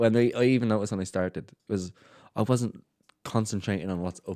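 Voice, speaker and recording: A man with a Dublin accent speaks in a dark, mellow tone with fairly even intonation at a moderate pace. The sound is dry and close, with no echo. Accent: Dublin Irish. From Ireland, Dublin. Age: 20s. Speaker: DJ and promoter. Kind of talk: casual chat.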